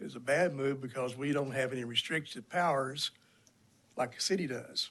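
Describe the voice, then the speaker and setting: Here a man speaks with a Texan accent at a medium pitch. He keeps a moderate pace and fairly even intonation. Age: 60s. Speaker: county judge. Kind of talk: legislative committee testimony.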